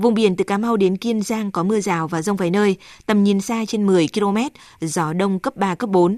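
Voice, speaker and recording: On a very clean recording with a silent background and a dry, close sound with no echo, a woman speaks at a medium pitch and moderate pace in a dark, mellow tone with fairly even intonation. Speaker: weather forecaster. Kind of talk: news reading.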